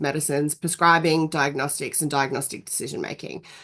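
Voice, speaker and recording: With an Australian accent, a woman speaks using fairly even intonation. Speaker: nurse practitioner and university lecturer. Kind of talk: webinar presentation. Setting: video call webinar. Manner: hesitant, many fillers.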